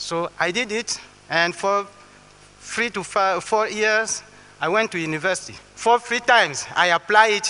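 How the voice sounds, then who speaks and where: A raised, projected voice with a Congolese accent moves at a fairly slow pace with ordinary pitch variation over noticeable background noise. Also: man. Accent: French-speaking Congolese accent in English. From Western Congo. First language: French. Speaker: botanist and conservationist. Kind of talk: public talk. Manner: halting.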